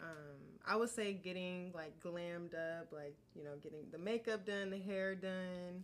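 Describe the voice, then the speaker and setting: Her intonation fairly even, a woman with an American accent speaks in an unremarkable speaking voice at a medium pitch. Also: fairly slow pace. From Georgia, US South. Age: 20s. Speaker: model. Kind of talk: casual chat.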